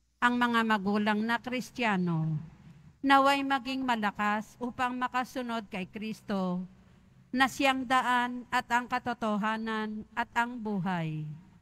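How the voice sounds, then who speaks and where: In a bright, sharp tone, a woman speaks very slowly at a fairly high pitch with ordinary pitch variation. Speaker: lector. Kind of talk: prayer of the faithful intercessions.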